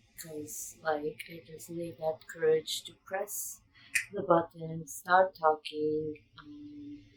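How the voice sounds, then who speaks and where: With big swings in loudness, a woman talks at a very slow pace in a very deep, low pitch and a monotone, flat intonation. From Israel. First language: Hebrew. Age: 20s. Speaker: vlogger. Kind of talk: personal vlog. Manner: hesitant, many fillers. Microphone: bad audio.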